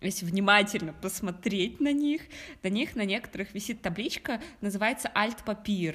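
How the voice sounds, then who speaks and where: A woman with a non-native accent, medium pitch, lively intonation and a moderate pace. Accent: foreign accent in German. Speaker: podcast co-host. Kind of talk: casual chat.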